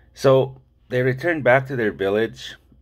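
Over a quiet background, a man with a medium-pitched voice and vocal fry talks at a fairly slow pace. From Saskatchewan First Nations community. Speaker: university lecturer and storyteller. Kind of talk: traditional story told to camera. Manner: casual, gentle, humorous. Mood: warm, gentle, smiling. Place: home room. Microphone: phone near.

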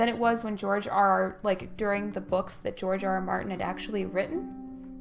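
A woman talks at a moderate pace while faint music plays behind her. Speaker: game streamer. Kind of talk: casual stream chat. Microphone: headset.

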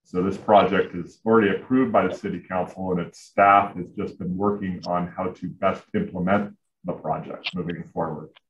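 A man's very deep, low voice at a moderate pace with fairly even intonation and hardly any pauses, plus audible room echo and light background noise. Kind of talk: presentation. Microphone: video call.

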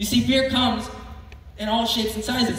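Strong room echo carries a man's high-pitched voice, which keeps fairly even intonation. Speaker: youth preacher. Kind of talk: sermon. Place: hall. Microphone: pa.

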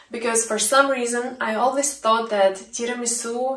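A woman talks at a moderate pace. There is audible room echo against a quiet background. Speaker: vlogger. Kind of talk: casual vlog chat. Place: kitchen. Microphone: phone near.

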